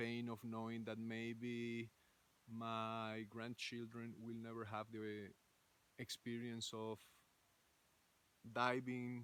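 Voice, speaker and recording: A man with a Spanish accent, medium pitch, monotone, flat intonation and a very slow pace. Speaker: ecovillage founder. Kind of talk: recorded video message. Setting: outdoors in a forest. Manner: halting, many fillers.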